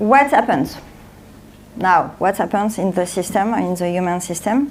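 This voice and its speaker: A woman speaks with a French accent and ordinary pitch variation. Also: medium pitch for a woman, fairly slow pace. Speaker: author and speaker. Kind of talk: conference talk. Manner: halting.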